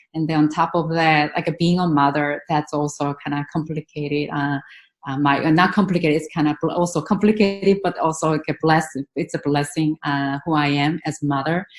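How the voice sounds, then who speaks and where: In a Korean accent, a woman speaks fairly quickly with hardly any pauses. Her pitch is very deep and low, and her intonation is fairly even. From South Korea. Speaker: professor, teacher educator. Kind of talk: panel discussion.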